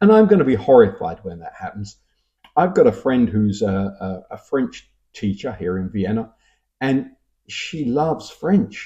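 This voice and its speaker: A man speaks with a Cockney accent. His pace is fairly slow. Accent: Cockney London English. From London (Cockney). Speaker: YouTuber commenting on language. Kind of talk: casual talk reading viewer comments. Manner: hesitant, conversational with fillers.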